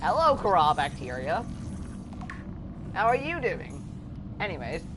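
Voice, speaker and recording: The pace is fairly slow. Noticeable background noise sits behind the voice. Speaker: gaming streamer. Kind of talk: live gameplay commentary. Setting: live stream. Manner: loud.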